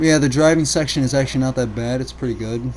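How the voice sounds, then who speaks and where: A man speaks over noticeable background noise. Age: 20s. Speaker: gaming youtuber. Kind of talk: gameplay commentary. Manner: halting, stuttering.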